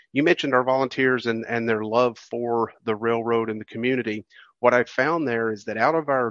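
A plain, everyday voice at a moderate pace, dry and close with no echo, over a quiet background. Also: man. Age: 50s. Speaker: railroad museum publicity director. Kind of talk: interview.

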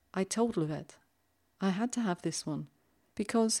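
A woman with a British accent speaks at a moderate pace in a dark, mellow tone with ordinary pitch variation, on a very clean recording with a silent background. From London, England. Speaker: podcast host. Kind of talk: poetry podcast presenting and reading aloud.

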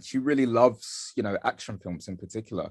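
With a London accent, a man speaks with ordinary pitch variation over a quiet background. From London, Bethnal Green (East London). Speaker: artist and film director. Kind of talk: interview. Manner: halting, many fillers.

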